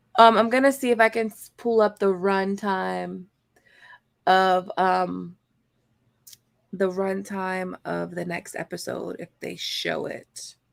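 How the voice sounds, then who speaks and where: Speaking in a Baltimore accent, a woman goes very slowly, with big swings in loudness and long, frequent pauses. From Baltimore, US. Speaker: after show co-host. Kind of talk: casual chat.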